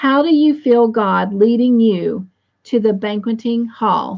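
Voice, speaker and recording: At a fairly slow pace, a woman with a Southern US accent speaks in a fairly high, somewhat breathy voice with ordinary pitch variation. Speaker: host of an online Bible study chat. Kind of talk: devotional, prayerful.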